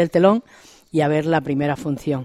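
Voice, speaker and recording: In a very clean recording with a silent background and a dry, close sound with no echo, a woman with a very deep, low pitch speaks at a moderate pace with ordinary pitch variation. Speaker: regional association president. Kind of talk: radio interview.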